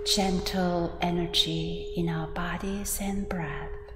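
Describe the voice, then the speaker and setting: Noticeable background noise surrounds a woman who speaks at a very slow pace. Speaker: Buddhist teacher leading guided meditation. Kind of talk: guided meditation and dharma talk. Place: church.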